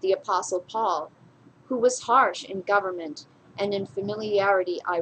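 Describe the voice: The voice is plain reading aloud. Its pitch varies in an ordinary way.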